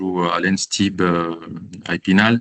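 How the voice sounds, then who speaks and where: The man's fairly low voice has a bright, sharp tone and monotone, flat intonation, recorded in a dry, close sound with no echo. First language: not French (speaking French). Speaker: architect and doctoral researcher. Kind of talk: interview. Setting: outdoors in front of train station. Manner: halting, many fillers.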